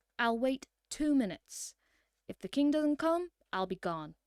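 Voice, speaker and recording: Using a put-on character voice, a woman speaks high at a moderate pace. The recording is very clean, with a silent background. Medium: read story.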